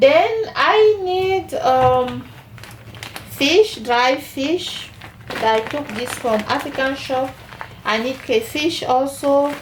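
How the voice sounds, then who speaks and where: A woman with a Cameroonian accent speaks at a very slow pace in a high voice, with noticeable background noise and audible room echo. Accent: Cameroonian francophone accent in English. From Cameroon, French-speaking part. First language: French. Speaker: cooking channel host. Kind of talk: cooking tutorial. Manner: halting, many fillers.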